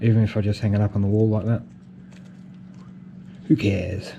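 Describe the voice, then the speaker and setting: A man with an Australian accent speaks at a moderate pace in a fairly low pitch, his dark, mellow tone somewhat breathy. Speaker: FPV drone hobbyist. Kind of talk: casual talk to camera. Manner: hesitant, repeats words.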